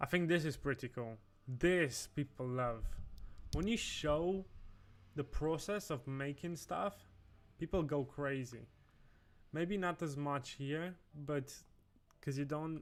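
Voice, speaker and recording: A man with a fairly high pitch and a non-native accent talks at a very slow pace, leaving long, frequent pauses. His pitch variation is ordinary, and the recording is very clean with a silent background. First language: not English. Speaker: designer livestreamer. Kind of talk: livestream commentary. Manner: casual, halting with self-corrections.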